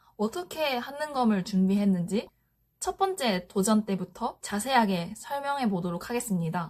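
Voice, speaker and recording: Lively intonation in a somewhat breathy voice. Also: woman. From Japan. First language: Japanese (speaking Korean). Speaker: office worker sharing study tips. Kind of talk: vlog-style explanation. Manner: slow; hesitant with frequent fillers.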